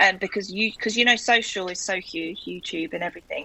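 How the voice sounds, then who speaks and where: A woman with a medium pitch is speaking. She goes at a fairly quick pace with fairly even intonation. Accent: South London. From South London, England. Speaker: guest raffling her house. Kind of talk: casual chat.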